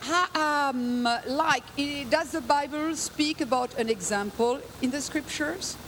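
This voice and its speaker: A woman speaks loud and very slowly at a high pitch with ordinary pitch variation, with noticeable background noise behind her. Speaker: guest preacher. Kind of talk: sermon.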